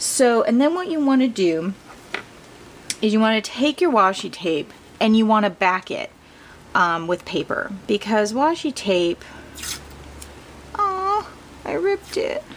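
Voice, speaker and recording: A woman speaks with a fairly high pitch and very wide pitch swings, leaving long, frequent pauses. Noticeable background noise runs underneath. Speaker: crafting video host. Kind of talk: tutorial. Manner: casual, chatty with fillers.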